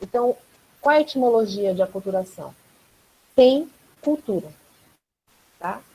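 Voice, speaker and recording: At a fairly slow pace, a woman speaks with long, frequent pauses and fairly high pitch. Her tone is dark, mellow and somewhat breathy, with lively intonation. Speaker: anthropology professor. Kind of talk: online class Q&A, explaining a concept.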